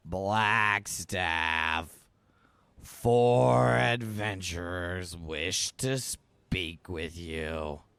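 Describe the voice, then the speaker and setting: Using a put-on character voice, a man speaks very slowly in a very deep, low pitch. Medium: actual play. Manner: curt, officious.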